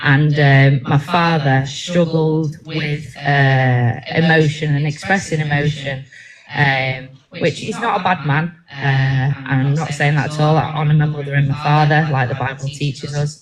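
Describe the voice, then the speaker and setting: A woman with a very deep, low pitch talks at a fairly slow pace with fairly even intonation over noticeable background noise. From Manchester, England (born in Bangor, Wales). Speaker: ministry team member giving testimony. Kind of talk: testimony. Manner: halting, many fillers.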